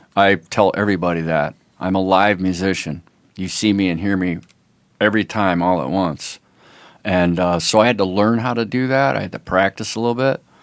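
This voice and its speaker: Speaking fairly quickly with an American accent, a man uses a very deep, low voice with ordinary pitch variation on a very clean recording with a silent background. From US Midwest, Toledo, Ohio. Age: 60s. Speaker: musician. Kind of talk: casual chat. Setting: podcast interview.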